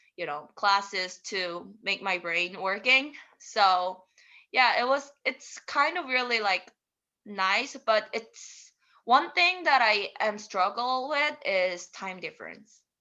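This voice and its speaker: A woman with a Korean accent speaks at a fairly high pitch and a very slow pace. Her bright, sharp tone moves through very wide pitch swings. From South Korea. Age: 20s. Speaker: international student. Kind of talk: interview. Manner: halting.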